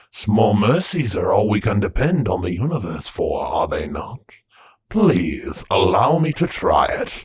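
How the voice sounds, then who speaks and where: A man uses a put-on character voice that is raspy and fairly high in pitch. He talks at a fairly slow pace. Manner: wistful, polite.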